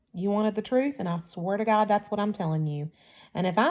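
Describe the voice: Plain out-loud reading, its pitch moving in an ordinary way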